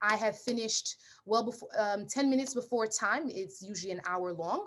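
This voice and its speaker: A woman talks in an animated tone at a fairly quick pace. Her pitch is fairly high, with ordinary variation. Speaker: nurse practitioner and nursing tutor. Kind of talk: lecture. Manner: fast.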